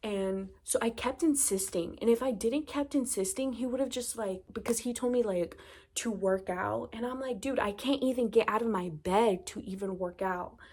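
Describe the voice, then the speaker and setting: An unremarkable speaking voice belongs to a woman with an American accent who talks at a moderate pace with hardly any pauses, her fairly high pitch showing ordinary pitch variation. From Virginia, USA. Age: 20s. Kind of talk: casual talk to camera.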